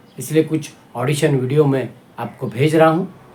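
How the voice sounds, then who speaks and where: Background noise is noticeable here. The speaker is a man with a fairly high pitch. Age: 60s. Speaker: actor. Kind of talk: audition self-introduction to camera.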